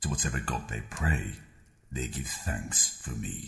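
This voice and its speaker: A man speaks at a fairly slow pace. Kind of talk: grand theatrical villain speech. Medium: voice reel. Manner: imperious, cold, contemptuous.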